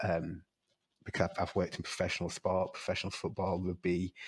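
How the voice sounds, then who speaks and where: A man speaks with a Yorkshire accent in a very deep, low pitch. The recording is very clean with a silent background. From northern England, York. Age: 30s. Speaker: wrestler and lecturer. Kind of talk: podcast interview. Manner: hesitant, many fillers.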